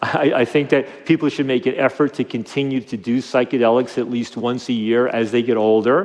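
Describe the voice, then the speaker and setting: Speaking fairly quickly in a medium pitch, a man is heard with noticeable background noise. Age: 60s. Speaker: drug policy reform advocate. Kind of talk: interview. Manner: halting, many fillers and repetitions.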